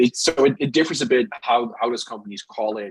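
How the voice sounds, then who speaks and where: A man speaks with a Dutch accent. His medium-pitched voice has lively intonation. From Netherlands. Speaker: product manager. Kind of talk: webinar interview. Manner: halting, many repetitions.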